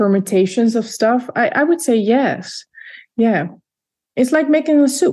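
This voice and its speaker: Speaking at a fairly slow pace, a woman has a dark, mellow tone, a fairly high pitch and lively intonation. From Netherlands, Leiden. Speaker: vocalist and composer. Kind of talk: interview.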